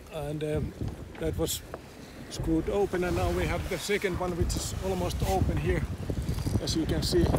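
Loud background noise behind a man at moderate speed, the sound dry and echo-free. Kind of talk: casual vlog chat. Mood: calm, matter-of-fact. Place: boat. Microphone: phone near.

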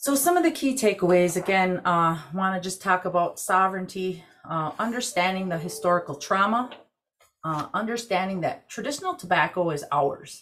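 An American accent carries lively intonation at a moderate pace over light background noise. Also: woman. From Wisconsin, Ojibwe community. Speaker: Native tobacco program director, army veteran; presenter. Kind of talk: webinar presentation. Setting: video call.

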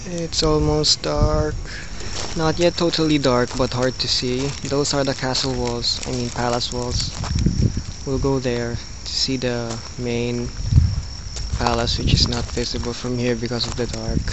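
Amid loud background noise, the speech is fairly slow with long, frequent pauses and a dry sound with no echo. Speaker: travel vlogger. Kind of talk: casual vlog chat. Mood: amused, a bit frustrated. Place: open country. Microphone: phone near.

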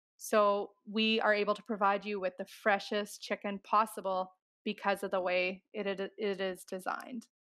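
In a Canadian accent, a woman talks at a moderate pace with flat, monotone intonation. The background is quiet. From Canadian Prairies. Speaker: chicken farmer; podcast guest. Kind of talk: interview. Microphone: headset.

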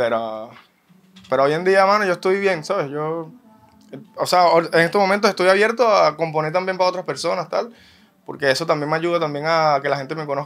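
A high-pitched man speaks fairly quickly but with long, frequent pauses and ordinary pitch variation. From Venezuela, Caracas area. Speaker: singer; interviewee. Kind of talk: interview. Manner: casual, halting with repetitions. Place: studio. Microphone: studio mic.

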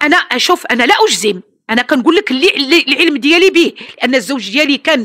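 A woman's intonation is lively as she moves at a fairly quick pace over a quiet background. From Morocco. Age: 70s. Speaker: interviewee, employer's mother. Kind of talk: interview, defensive account. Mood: defensive, earnest. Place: home room. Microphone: handheld.

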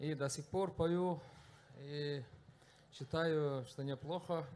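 A very slow, monotone, flat delivery over light background noise. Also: man. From Tuva, Russia. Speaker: blogger and singer; blogger. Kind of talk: panel discussion. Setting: festival stage with audience. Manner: halting, many fillers. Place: hall. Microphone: handheld.

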